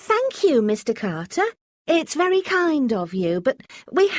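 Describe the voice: A quiet background behind plain reading aloud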